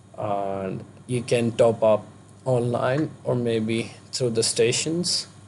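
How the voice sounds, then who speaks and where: With an Indian accent, a man speaks very slowly at a medium pitch, his pitch varying in an ordinary way. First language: not English. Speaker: vlogger, international student. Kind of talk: vlog tutorial. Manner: halting, many fillers.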